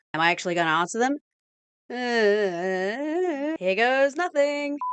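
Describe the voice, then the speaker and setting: A high-pitched woman's voice in a New Zealand accent, fairly slow, with very wide pitch swings and very even loudness. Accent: Kiwi. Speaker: video essayist. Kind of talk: scripted narration. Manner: trying to sound lively, slightly awkward.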